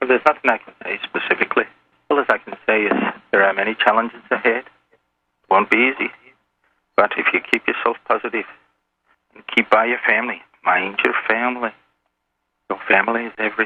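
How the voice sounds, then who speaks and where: A man with an Irish accent at medium pitch, fairly quick yet with long, frequent pauses, fairly even intonation and big swings in loudness. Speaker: anonymous caller. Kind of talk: radio interview. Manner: hard to understand at times.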